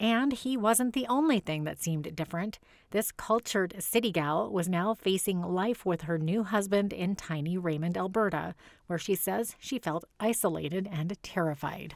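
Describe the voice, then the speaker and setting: In a very clean recording with a silent background, a woman uses a normal speaking voice at a medium pitch, with ordinary pitch variation and a moderate pace. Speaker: news reporter. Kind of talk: TV news report narration.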